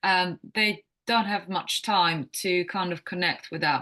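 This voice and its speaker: A woman with a Croatian accent speaks at a fairly slow pace, medium in pitch, with ordinary pitch variation. Her tone is bright and sharp, over a quiet background. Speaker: wellness coach. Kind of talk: podcast interview. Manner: halting.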